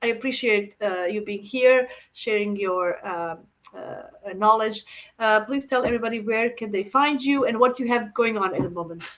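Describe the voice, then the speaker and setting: Female voice with a non-native accent, fairly high in pitch, at a moderate pace with ordinary pitch variation. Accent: foreign. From Croatia. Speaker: astrologer, channel host. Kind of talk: casual interview chat. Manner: halting, many fillers.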